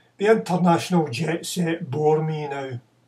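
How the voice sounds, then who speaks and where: Fairly high in pitch, a man speaks at a fairly slow pace. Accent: Scottish. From Glasgow, Scotland. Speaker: poet. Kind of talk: poetry reading. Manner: deadpan, ironic. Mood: deadpan ironic boasting. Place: home room. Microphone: webcam.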